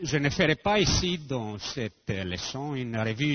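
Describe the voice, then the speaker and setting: The voice belongs to a man with a non-native accent. His intonation is lively. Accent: foreign accent in French. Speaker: physicist. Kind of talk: lecture. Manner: halting.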